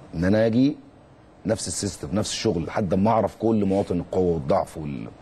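A man's fairly low voice at a fairly quick pace, with ordinary pitch variation and light background noise. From Egypt. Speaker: former footballer and youth coach; guest. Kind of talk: interview; interview answer. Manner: halting, with repeated words. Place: studio. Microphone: lapel.

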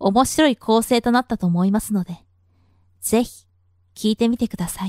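The speaker keeps a moderate pace with ordinary pitch variation. The background is quiet, and the sound is dry with no echo. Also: woman, fairly high pitch for a woman. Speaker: voice actor. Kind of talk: voice sample introduction. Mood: polite, gentle.

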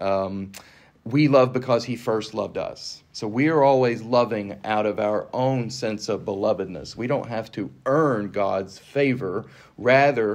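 Against a quiet background, a man with an ordinary speaking voice talks at a fairly slow pace and medium pitch with ordinary pitch variation. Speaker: Episcopal priest. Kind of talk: scripture reading and casual discussion. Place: meeting room.

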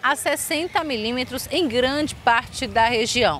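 A woman's voice has a dry sound with no echo. Light background noise can be heard. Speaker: local TV reporter. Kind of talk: scripted weather report read aloud, formal. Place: waterside. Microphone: handheld.

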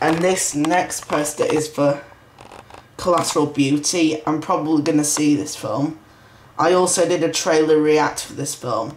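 Someone with a British accent talks at a fairly slow pace against noticeable background noise. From UK. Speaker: video collector and reviewer. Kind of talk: casual video review. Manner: halting.

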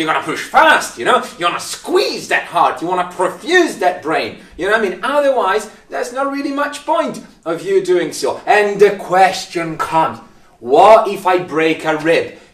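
In a room with audible echo, a man speaks at a high pitch and a moderate pace in an animated, dramatic tone with very wide pitch swings. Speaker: paramedic. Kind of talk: angry rant about bad first aid, mimicking bystanders. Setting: video recording to camera. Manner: exasperated, sarcastic, dramatic; animated, mocking voices. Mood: humorous exasperation. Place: empty room.

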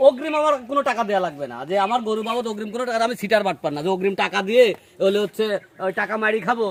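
High-pitched male speech, its pitch moving in an ordinary way. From Bangladesh, Pabna district. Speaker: cattle farmer and seller. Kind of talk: sales pitch.

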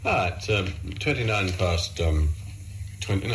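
Over light background noise, a man speaks with a very deep, low pitch and ordinary pitch variation. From Australia. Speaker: radio breakfast presenter. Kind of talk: radio breakfast show presenting. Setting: vintage radio broadcast. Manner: casual, chatty. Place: studio. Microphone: old recording.

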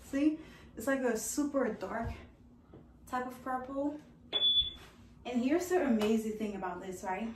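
Over loud background noise, a woman speaks in a high voice with an animated tone, ordinary pitch variation, a moderate pace, and long, frequent pauses. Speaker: fashion and lifestyle vlogger; lifestyle vlogger. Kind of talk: casual product try-on review. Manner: animated, chatty. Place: home room. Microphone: camera far.

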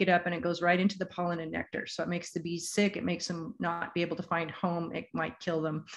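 A woman speaks with an American accent against light background noise. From US Pacific Northwest. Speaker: bee gardening presenter. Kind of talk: lecture with slides. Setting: video call with screen share. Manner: casual, conversational. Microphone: video call.

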